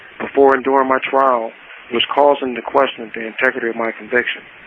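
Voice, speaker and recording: With an American accent, a man talks very fast in a flat, monotone delivery at medium pitch, with noticeable background noise behind him. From Detroit, Michigan. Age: 60s. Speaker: prisoner and writer. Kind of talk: interview.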